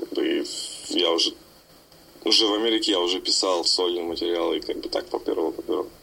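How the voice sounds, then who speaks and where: Against noticeable background noise, a man talks at a very fast pace broken by long, frequent pauses. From Siberia, Novokuznetsk. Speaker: rapper and label owner. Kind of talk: interview. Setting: Skype call. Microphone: Skype audio, possible sound problems.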